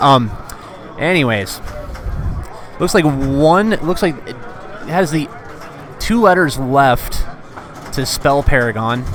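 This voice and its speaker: This man's intonation is lively, and noticeable background noise runs beneath him. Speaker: pinball stream commentator. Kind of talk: live commentary. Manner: hesitant, many fillers.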